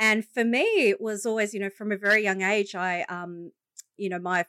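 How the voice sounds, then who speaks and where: In an Australian accent, the voice has a bright, sharp tone and fairly even intonation at a moderate pace, dry and close with no echo on a very clean recording with a silent background. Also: woman. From Australia, Illawarra (Wollongong area). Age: 30s. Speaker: leadership coach and business founder. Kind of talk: interview, personal story.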